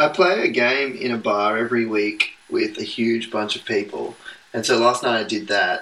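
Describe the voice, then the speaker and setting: There is noticeable background noise as a man talks at medium pitch and a moderate pace with ordinary pitch variation. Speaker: podcast co-host, pastor's kid. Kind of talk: casual chat.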